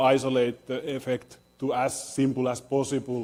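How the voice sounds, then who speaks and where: This is a man's voice. His pitch sits fairly high. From Finland. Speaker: theoretical physicist, professor. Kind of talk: lecture. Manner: halting, many fillers and restarts.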